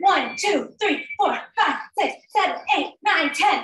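Faint music plays in the background as a woman uses a raised, projected voice at a very slow pace, with audible room echo. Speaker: fitness instructor. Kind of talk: workout instruction and counting. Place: home room. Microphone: video call.

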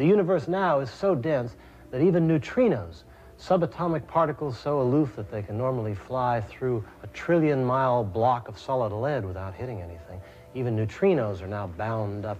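A man's somewhat breathy voice at a fairly quick pace over light background noise. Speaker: presenter. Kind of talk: documentary presenting to camera. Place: tunnel cave.

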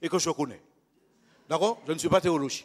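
In quiet surroundings, a man is talking. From Martinique (Le Lorrain); Martinique. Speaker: lay preacher. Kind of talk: sermon. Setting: church. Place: church. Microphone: handheld.

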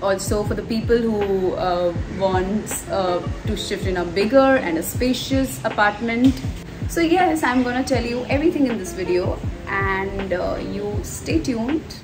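Over clear background music, a woman talks at a fairly slow pace. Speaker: vlogger. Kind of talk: casual vlog chat. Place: home room. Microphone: phone near.

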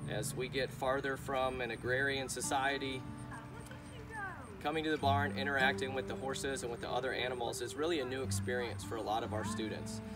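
Clear music plays behind a man who talks at a fairly quick pace with ordinary pitch variation. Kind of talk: explanatory talk to camera. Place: farm machine. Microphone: camera far.

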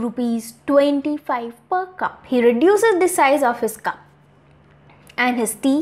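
A woman speaks at a slow pace, her pitch high and her intonation lively.

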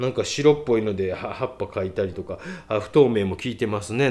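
A man with a fairly low pitch speaks at a fairly quick pace. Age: middle-aged. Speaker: painter and art critic. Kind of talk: casual critique of viewers' artworks, read-out submissions. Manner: casual, rambling, self-deprecating.

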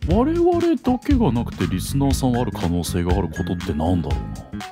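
Over background music, a man talks at a fairly quick pace with hardly any pauses. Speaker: VTuber radio co-host.

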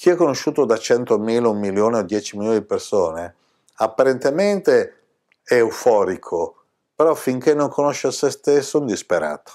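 A man speaks at a moderate pace and medium pitch, his dark, mellow tone carried by lively intonation over a quiet background. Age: 60s. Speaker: spiritual teacher. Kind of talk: spiritual talk to camera. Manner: animated. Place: home room.

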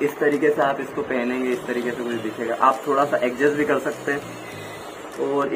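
Through noticeable background noise, a man speaks at a fairly slow pace. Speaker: product demonstrator. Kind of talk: tutorial. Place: shop. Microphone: phone near.

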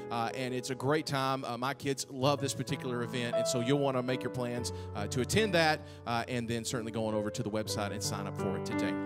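A man talks at a very fast pace over loud music in the background. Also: ordinary pitch variation. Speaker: church minister. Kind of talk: church announcements. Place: church. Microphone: handheld.

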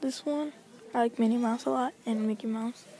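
A woman with a high pitch speaks at a moderate pace, the sound dry with no echo and light background noise. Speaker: vlogger. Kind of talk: casual vlog chat. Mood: relaxed, chatty. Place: shop. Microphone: phone near.

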